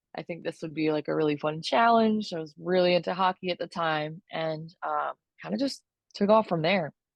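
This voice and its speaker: A woman has a plain, everyday voice with an American accent. Her pitch is fairly low and her pace moderate. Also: lively intonation. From Florida. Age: 30s. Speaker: sports photographer. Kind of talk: podcast interview.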